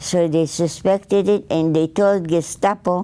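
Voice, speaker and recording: In a dark, mellow tone, a woman talks at a fairly slow pace with a fairly low pitch and fairly even intonation. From Poland. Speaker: Holocaust survivor. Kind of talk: interview answer.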